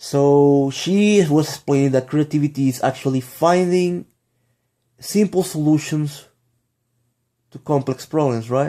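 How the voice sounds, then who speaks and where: Speaking with a Spanish accent, a man holds a very even loudness at a fairly high pitch, moving at a fairly slow pace with ordinary pitch variation and long, frequent pauses. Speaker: vlogger. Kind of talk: casual vlog monologue. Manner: halting, many fillers and restarts.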